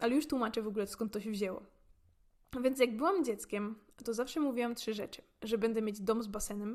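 A very fast pace with ordinary pitch variation. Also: woman. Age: 20s. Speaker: podcaster. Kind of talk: casual monologue. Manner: talkative.

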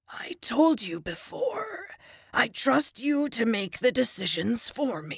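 A raspy, fairly high put-on character voice moves at a fairly slow pace with very wide pitch swings. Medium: read story. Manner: dry humor.

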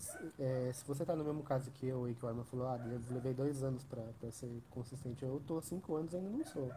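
At a moderate pace, a man speaks with fairly even intonation in a somewhat breathy voice with a dark, mellow tone, over light background noise. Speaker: trader and student support. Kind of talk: live stream interview. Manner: halting. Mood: reflective, candid. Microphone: quiet.

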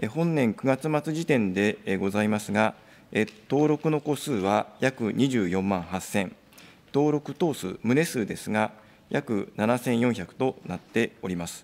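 Lively intonation marks this man's voice. He speaks at a very slow pace. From Japan. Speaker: government official. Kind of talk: formal parliamentary answer. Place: hall. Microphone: podium.

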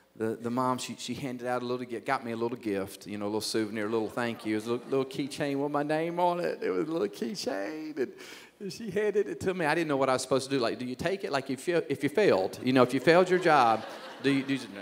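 Delivered at a very fast pace, the speech has lively intonation, with light background noise behind it. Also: man. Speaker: pastor. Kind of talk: sermon. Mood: humorous, self-deprecating. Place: stage. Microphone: handheld.

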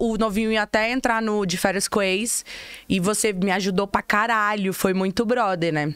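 Against a quiet background, a woman talks at a moderate pace and fairly high pitch, with fairly even intonation, very even loudness and hardly any pauses. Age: 30s. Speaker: podcast host. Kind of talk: casual chat. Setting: studio. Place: studio. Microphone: studio mic.

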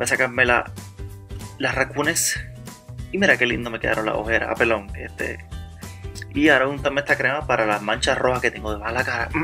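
Over music in the background, a man with a Puerto Rican accent talks very fast in a playful tone. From Puerto Rico. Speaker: blogger. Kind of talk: comedic voice-over narration of a makeup tutorial. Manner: joking, playful, rambling.

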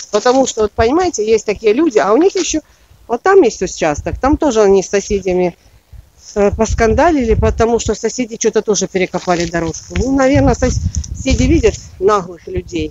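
Over light background noise, a woman talks at a fairly quick pace, the sound dry with no echo. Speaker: gardener vlogger. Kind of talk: casual vlog chat. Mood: annoyed about neighbours. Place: garden. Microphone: phone near.

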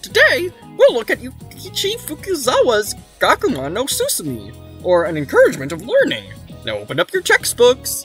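A put-on character voice at a moderate pace with faint music in the background. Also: man. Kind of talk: lecturing, instructional.

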